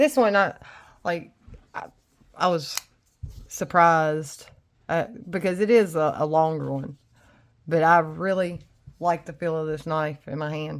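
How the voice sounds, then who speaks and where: Delivered in a Tennessee accent, the speech moves at a fairly slow pace with long, frequent pauses. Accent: Southern US (Tennessee). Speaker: knife reviewer. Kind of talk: casual chat.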